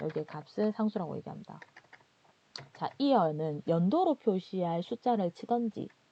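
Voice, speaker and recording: With a strong Gyeongsang accent, a woman speaks at a moderate pace in a medium pitch and a dark, mellow tone, her intonation lively and the sound dry and close with no echo. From Gyeongsang region, South Korea. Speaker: instructor. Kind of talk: lecture. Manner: conversational, explanatory.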